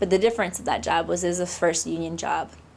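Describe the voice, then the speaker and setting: A woman speaks with a Pacific Northwest accent. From Seattle. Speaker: labor organizer. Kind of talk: oral history interview. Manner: hesitant, many fillers.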